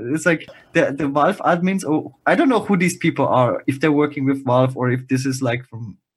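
This man has a fairly high pitch and a somewhat breathy voice. He speaks at a moderate pace with ordinary pitch variation. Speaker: podcast co-host. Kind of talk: casual chat.

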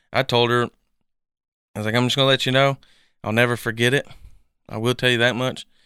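A man with an East Tennessee accent, bright and sharp in tone, very fast with long, frequent pauses and flat, monotone intonation, in a very clean, dry, close recording with a silent background and no echo. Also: medium pitch for a man. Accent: East Tennessee Southern US. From Tennessee, Knoxville area. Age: 20s. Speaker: adopted son. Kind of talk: personal testimony interview.

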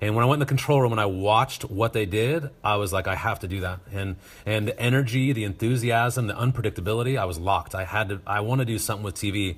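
With an American accent, a somewhat breathy man speaks at a very fast pace and a fairly low pitch with ordinary pitch variation. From US West, Northern Nevada. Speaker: high school TV production teacher. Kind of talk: interview conversation. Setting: video call.

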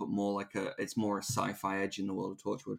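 A man talks at a fairly quick pace in a plain, everyday voice, fairly low in pitch. The recording is very clean, with a silent background. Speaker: podcast host. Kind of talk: casual chat.

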